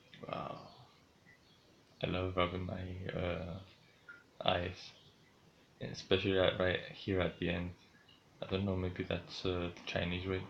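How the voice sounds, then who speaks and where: A man's very deep, low voice stays monotone and flat, somewhat breathy. He talks fairly slowly, with long, frequent pauses. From Greece. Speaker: streamer. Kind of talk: casual vlog narration. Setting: home, in his room.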